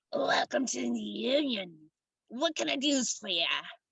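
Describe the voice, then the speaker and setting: A raspy, fairly high-pitched, put-on character voice. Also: moderate pace. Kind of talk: friendly, businesslike. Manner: welcoming.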